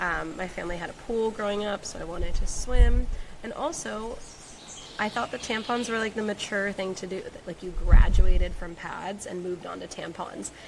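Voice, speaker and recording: Against noticeable background noise, a woman speaks at a moderate pace with big swings in loudness. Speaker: podcast host, women's coach. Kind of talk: personal storytelling podcast. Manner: laid-back, emotional.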